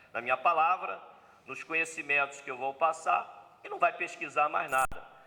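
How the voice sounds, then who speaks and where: Here a man has a plain, everyday voice with a fairly high pitch. His pace is moderate. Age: 60s. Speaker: spiritist lecturer. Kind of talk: seminar lecture. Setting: spiritist center seminar with audience.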